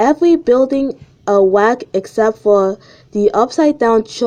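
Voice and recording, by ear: Reading aloud in a natural voice.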